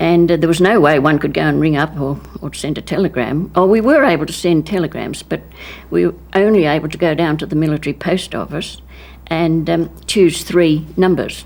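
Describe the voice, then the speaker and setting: A woman's very deep, low voice with vocal fry and an Australian accent. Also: ordinary pitch variation, fairly quick pace. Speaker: war veteran. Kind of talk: testimony.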